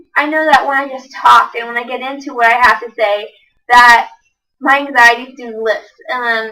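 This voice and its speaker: A woman speaks in a raised, projected voice with a bright, sharp tone. Her pace is fairly quick, with ordinary pitch variation. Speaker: college student. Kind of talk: class assessment speech. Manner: fast; rushed, words run together.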